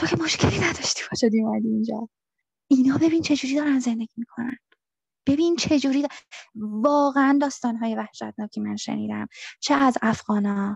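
At a fairly quick pace, a woman with an unremarkable speaking voice talks at a fairly high pitch with ordinary pitch variation, the sound dry and close with no echo. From Iran. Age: 30s. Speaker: returned asylum seeker. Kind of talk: interview testimony.

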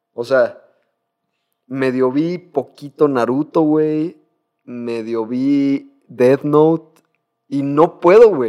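Lively intonation runs through the dark, mellow tone of a man speaking. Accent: Mexican. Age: 20s. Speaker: podcast host. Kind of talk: casual chat.

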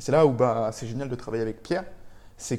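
This man has a dark, mellow tone at medium pitch. His intonation stays fairly even. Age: 20s. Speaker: freelance web developer. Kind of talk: casual interview.

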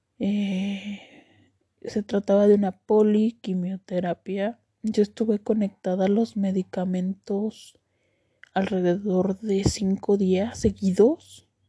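In a dry, close recording with no echo, a woman speaks very slowly in a monotone, flat way, her medium-pitched voice somewhat breathy with a dark, mellow tone. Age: 30s. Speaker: cancer survivor podcaster. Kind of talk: personal testimony. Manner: hesitant, many fillers.

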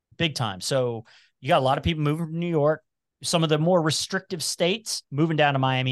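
A man with an American accent speaks at a fairly quick pace in a fairly high voice with lively intonation. The sound is dry and close with no echo, over a quiet background. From Cincinnati, Ohio (Price Hill). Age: 40s. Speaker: entrepreneur and podcaster. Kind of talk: casual interview chat.

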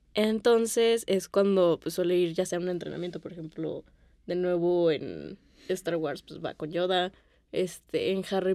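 Pitch shifts in an ordinary way here. The tone is dark and mellow. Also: woman. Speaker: film podcast co-host. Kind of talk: casual chat.

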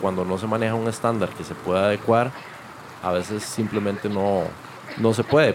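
A man's fairly low voice holds a moderate pace and fairly even intonation amid noticeable background noise. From Costa Rica, Limón (Caribbean coast). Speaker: chef. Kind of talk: casual chat.

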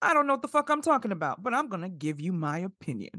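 An animated woman with an American accent talks fairly quickly at medium pitch, her bright, sharp tone touched with vocal fry, her pitch swinging very widely, and the sound dry and close with no echo. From New York City (South Bronx, Flatbush). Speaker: podcast host. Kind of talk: casual chat.

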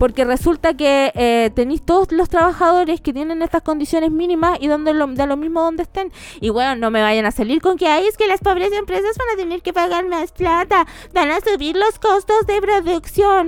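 A woman's extremely high voice, animated in tone and lively in intonation, at a moderate pace. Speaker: lawyer podcast host. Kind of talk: casual chat. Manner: joking, animated.

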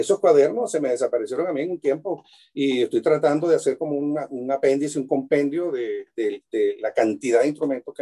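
The speech moves at a fairly quick pace with a dry, close sound and no echo. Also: man. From Venezuela, Maracaibo. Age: 60s. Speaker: luthier and cuatro player. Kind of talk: casual interview chat. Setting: video call from his workshop.

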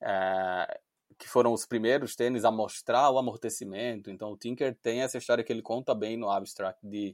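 In a dry, close recording with no echo, very clean and silent behind him, a man speaks at medium pitch in a flat monotone. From Brazil, Recife (Pernambuco). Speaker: sneaker media founder, dentist by training. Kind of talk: interview conversation.

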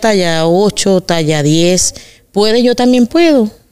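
A woman's voice with ordinary pitch variation is heard through noticeable background noise. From Venezuela, Carabobo. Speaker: migrant woman, mother. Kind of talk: interview conversation.

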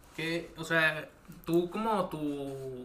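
A man speaks with audible echo from the room around him. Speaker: podcast host. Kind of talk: casual interview. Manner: halting.

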